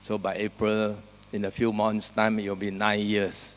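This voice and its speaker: A man's fairly low-pitched voice, monotone and flat, at a fairly slow pace. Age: 70s. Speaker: invited speaker at animal welfare conference. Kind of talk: conference speech.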